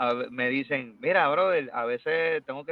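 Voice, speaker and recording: Using an unremarkable speaking voice, a man with a fairly high pitch talks with lively intonation. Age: 30s. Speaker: salsa singer. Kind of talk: interview.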